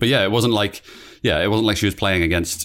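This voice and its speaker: A British accent with ordinary pitch variation, in a very clean recording with a silent background. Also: man. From Britain. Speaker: podcast co-host. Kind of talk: casual chat.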